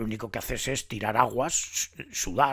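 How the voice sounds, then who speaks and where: There is vocal fry in this man's voice, recorded very cleanly against a silent background. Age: 70s. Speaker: nature vlogger. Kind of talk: casual monologue. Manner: halting, many repetitions.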